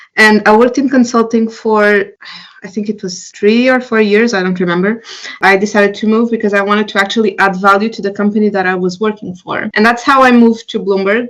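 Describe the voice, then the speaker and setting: Speaking at a fairly quick pace with a Portuguese accent, a woman keeps a fairly high pitch and fairly even intonation. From Portugal. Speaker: entrepreneur. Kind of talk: interview. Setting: podcast.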